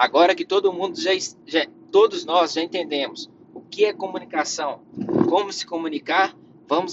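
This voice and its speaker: A man's high-pitched, animated voice at a moderate pace, with ordinary pitch variation, over noticeable background noise. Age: 20s. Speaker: career podcast host. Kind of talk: solo podcast monologue.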